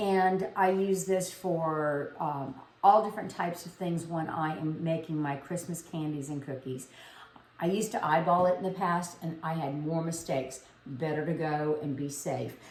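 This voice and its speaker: With a Louisiana accent, a woman speaks at a moderate pace and fairly low pitch, using ordinary pitch variation, while room echo is audible. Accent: Southern US (Louisiana). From South Louisiana. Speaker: home cooking video host. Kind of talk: cooking tutorial. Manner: casual, conversational.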